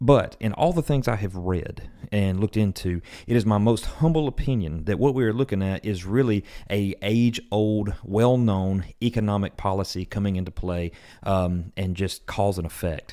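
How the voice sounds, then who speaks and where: A man's fairly low voice with a dark, mellow tone and ordinary pitch variation, very cleanly recorded against a silent background. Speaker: mortgage loan officer. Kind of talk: market update vlog. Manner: fast.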